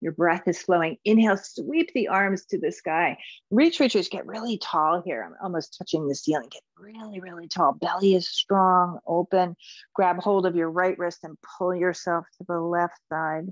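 A woman's medium-pitched voice with a gentle tone at a moderate pace, big swings in loudness, a dry sound with no echo and a quiet background. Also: ordinary pitch variation. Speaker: yoga instructor. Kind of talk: guided movement and meditation class. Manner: clear step-by-step cueing, gentle and instructive. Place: home room.

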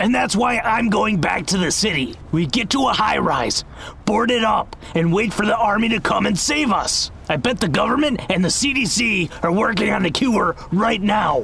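A man with a high voice talks at a moderate pace over clear background noise. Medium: machinima. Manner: insistent, dramatic.

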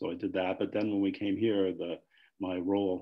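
A man with an American accent talks at a moderate pace in a fairly low, monotone, flat voice. The background is quiet. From US Midwest. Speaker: mathematics professor. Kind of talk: casual interview. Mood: relaxed, reflective. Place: home room. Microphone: video call.

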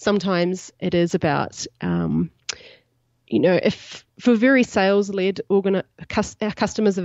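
A woman speaks with a New Zealand accent. Her intonation stays fairly even. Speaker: startup CEO and co-founder. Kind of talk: podcast interview.

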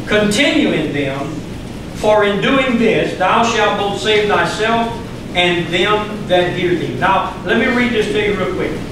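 Amid strong room echo and noticeable background noise, a man with an American accent speaks at a fairly slow pace, high in pitch with ordinary pitch variation. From US South, Louisiana. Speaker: pastor. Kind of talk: sermon. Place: church.

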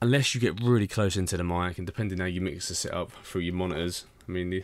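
A man talks fast in a low pitch. His intonation stays fairly even.

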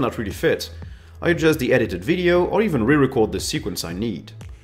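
A man with a non-native accent speaks at a very fast pace with very wide pitch swings while faint music plays in the background. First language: not English. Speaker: YouTuber. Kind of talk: scripted narration. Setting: home studio. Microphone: studio mic.

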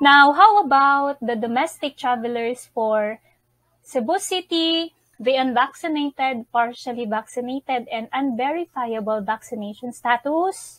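A woman's high, lively voice at a very slow pace, dry with no echo, over a quiet background. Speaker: travel info vlogger. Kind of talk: informational vlog explanation.

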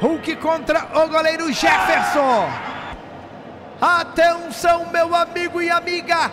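Against noticeable background noise, a man with an extremely high pitch speaks at a very slow pace in a raised, projected voice with fairly even intonation. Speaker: radio football commentator. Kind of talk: live commentary. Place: studio. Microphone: handheld.

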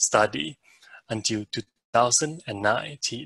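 A man talks with a bright, sharp tone and ordinary pitch variation. The sound is dry with no echo, and the background is quiet. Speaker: webinar host. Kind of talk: formal introduction and announcements. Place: home room. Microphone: headset.

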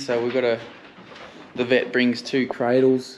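Noticeable background noise fills the clip. A man talks through it. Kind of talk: casual vlog chat. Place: farm machine. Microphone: phone near.

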